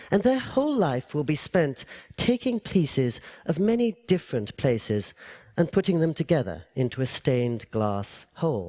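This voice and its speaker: A man with an English accent talks at a moderate pace, his fairly high voice taking very wide pitch swings in a dark, mellow tone. The sound is dry and close with no echo, over a quiet background. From England. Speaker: public speaker. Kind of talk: public talk.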